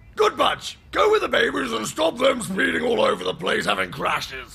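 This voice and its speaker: A man shouts in a put-on character voice. His pace is moderate. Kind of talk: military bark. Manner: pompous, blustering.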